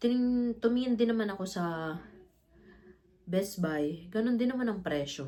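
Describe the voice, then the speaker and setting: A woman with a medium pitch and lively intonation talks at a moderate pace, leaving long, frequent pauses. Audible room echo can be heard. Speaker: vlogger. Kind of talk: casual unboxing vlog.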